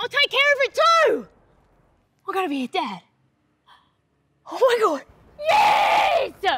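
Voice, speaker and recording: A woman shouting in a put-on character voice, extremely high in pitch with very wide pitch swings, at a fairly slow pace with long, frequent pauses. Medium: character comedy web series. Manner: excited, loud.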